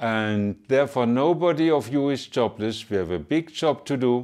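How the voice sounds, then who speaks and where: Against a quiet background, a man talks at a medium pitch. He has a German accent. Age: 70s. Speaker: pharmacist and association chairman. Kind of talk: address to supporters. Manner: halting.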